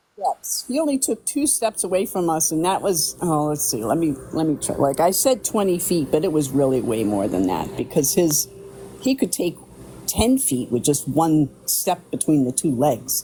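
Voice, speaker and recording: Noticeable background noise runs through the clip. The talking proceeds at a moderate pace. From New Hampshire. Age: 60s. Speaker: eyewitness. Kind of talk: testimony.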